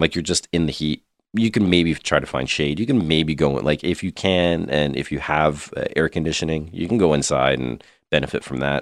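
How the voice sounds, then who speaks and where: With a Canadian accent, a man speaks at a fairly quick pace in a very deep, low pitch with vocal fry and ordinary pitch variation, on a very clean recording with a silent background and a dry, close sound with no echo. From Ontario/Quebec, Canada. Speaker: podcast co-host. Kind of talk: casual chat.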